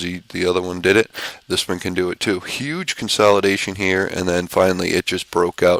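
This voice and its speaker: The speech moves at a fairly quick pace. The sound is dry and close, with no echo. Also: man. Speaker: stock trading educator. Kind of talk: market recap tutorial. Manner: fast; animated.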